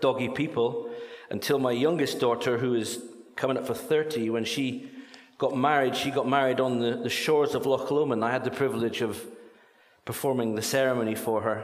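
With noticeable background noise and audible room echo, a man of medium pitch talks at a moderate pace with fairly even intonation. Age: 60s. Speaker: charity speaker. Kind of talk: church talk.

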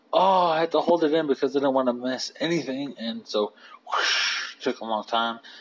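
Over noticeable background noise, a man speaks at a moderate pace. His pitch is fairly high, with ordinary variation. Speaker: solo podcaster. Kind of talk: casual monologue. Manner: halting.

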